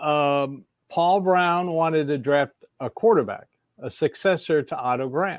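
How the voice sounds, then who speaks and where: An unremarkable speaking voice with an American accent, ordinary pitch variation, and a dry, close sound with no echo. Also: man, fairly high pitch for a man, fairly slow pace. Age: 60s. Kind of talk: casual chat.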